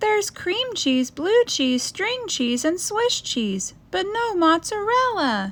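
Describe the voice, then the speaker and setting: A woman's squeaky put-on character voice, extremely high, with very wide pitch swings at a fairly slow pace. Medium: read story. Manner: cheerful, determined.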